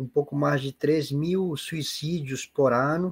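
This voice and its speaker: The speaker is a man, and his voice is somewhat breathy. He talks at a very slow pace. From Peru. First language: Spanish (speaking Portuguese). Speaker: spiritist lecturer. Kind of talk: online seminar talk. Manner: halting.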